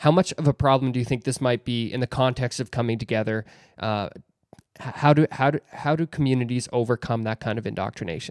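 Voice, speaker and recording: This man has an ordinary speaking voice of medium pitch, with ordinary pitch variation and a fairly quick pace. The sound is dry and close, with no echo. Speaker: podcast host. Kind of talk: podcast interview questions.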